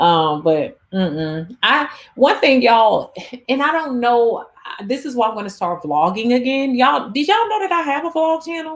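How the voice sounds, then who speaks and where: At a moderate pace, a woman talks in an animated tone with very wide pitch swings. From US Midwest, St. Louis. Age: 30s. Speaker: YouTuber and dating coach. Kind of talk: casual livestream chat. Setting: livestream with live chat comments. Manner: animated, conversational.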